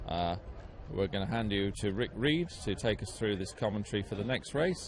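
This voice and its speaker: A man speaks with a British accent. His pitch is fairly low and his pace moderate. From UK. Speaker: race commentator. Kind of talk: live commentary. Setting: livestream with chat room.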